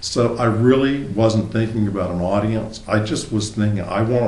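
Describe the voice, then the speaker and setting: Speaking with a Southern US accent, a man talks at a moderate pace and a fairly low pitch with fairly even intonation, amid audible room echo and noticeable background noise. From US South, South Carolina. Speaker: novelist. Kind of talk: interview. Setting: apartment.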